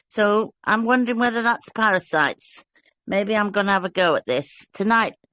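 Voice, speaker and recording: A woman speaks with a British accent at a moderate pace, her pitch fairly high and her tone bright and sharp. Her loudness stays very even, with ordinary pitch variation. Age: old. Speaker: fellowship participant. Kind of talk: casual chat.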